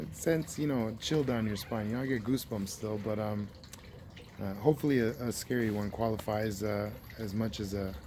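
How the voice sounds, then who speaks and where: Pitch varies in an ordinary way as the words come out fairly quickly. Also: man, fairly low pitch for a man. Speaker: outdoors vlogger. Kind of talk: casual storytelling. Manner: halting, many fillers.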